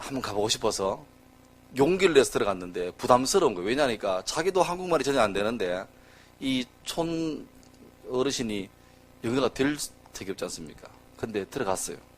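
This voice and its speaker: A man with a medium pitch talks at a fairly quick pace, broken by long, frequent pauses. His pitch swings very widely, along with big swings in loudness. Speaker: pastor. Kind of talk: sermon. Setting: church. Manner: casual, humorous storytelling with fillers.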